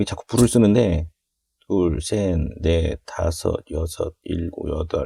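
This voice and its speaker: Recorded very cleanly against a silent background, a man speaks fairly slowly with a dry, close sound and no echo. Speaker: hobby model builder. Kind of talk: tutorial. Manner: casual, conversational.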